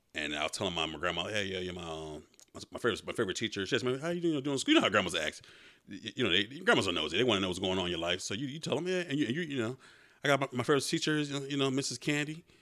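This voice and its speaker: A man talks very fast in an animated, bright, sharp tone with vocal fry. His pitch swings very widely. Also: medium pitch for a man. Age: 30s. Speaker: podcast co-host. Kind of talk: casual chat.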